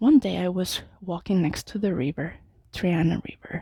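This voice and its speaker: Over a dry, close sound with no echo, a woman with a Mexican accent speaks at a fairly slow pace, somewhat breathy, with a dark, mellow tone and ordinary pitch variation. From Mexico City. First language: Spanish. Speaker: Toastmasters club member. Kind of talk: prepared speech. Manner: halting at times.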